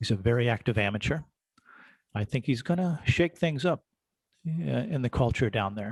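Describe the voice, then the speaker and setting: A man with a medium-pitched voice and lively intonation speaks at a moderate pace with long, frequent pauses, recorded dry and close with no echo against a quiet background. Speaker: amateur radio organization official. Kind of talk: presentation. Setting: video call. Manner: loud.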